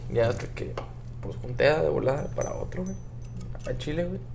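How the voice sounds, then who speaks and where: A man is speaking with music in the background. Audible room echo is present. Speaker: friend of the host. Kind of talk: casual chat. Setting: hotel in Cancún, improvised recording.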